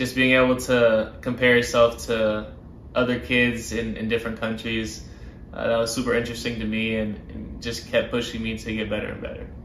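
Amid light background noise and audible room echo, a man speaks at a moderate pace in a monotone, flat intonation. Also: medium pitch for a man. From Birmingham, Alabama. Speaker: professional soccer player. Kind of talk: interview answers. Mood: warm, reflective. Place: home room.

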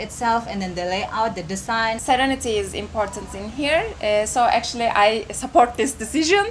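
Light background noise sits behind a woman's voice. She speaks at a moderate pace. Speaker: travel vlogger interviewer. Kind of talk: interview questions. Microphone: handheld.

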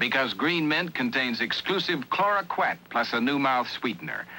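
A man talks at a moderate pace with vocal fry and very wide pitch swings. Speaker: commercial announcer. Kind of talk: TV commercial read. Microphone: old recording.

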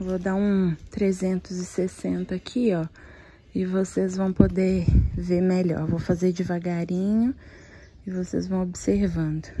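A quiet woman speaks at medium pitch in a monotone, flat intonation. Her pace is fairly slow, with light background noise. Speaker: vlogger. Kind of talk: shopping vlog, talking to camera. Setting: inside a shop. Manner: speaking quietly. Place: shop. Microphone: phone near.

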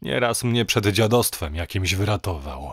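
A man talks at a fairly slow pace with vocal fry and lively intonation. The sound is dry and close, with no echo. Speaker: audiobook narrator. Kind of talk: horror story narration, reading aloud. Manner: gloomy, hushed, conspiratorial storytelling.

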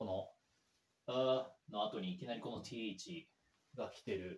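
A man's voice comes through somewhat breathy. Audible room echo is present. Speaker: English learner YouTuber. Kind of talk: language-learning commentary. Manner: halting, many fillers. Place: home room.

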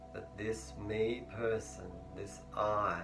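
A man speaks in a calm tone with a fairly low pitch. Music plays in the background. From Australia. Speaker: meditation teacher. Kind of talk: guided meditation teaching. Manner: calm, slow, instructional. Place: home room. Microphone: lapel.

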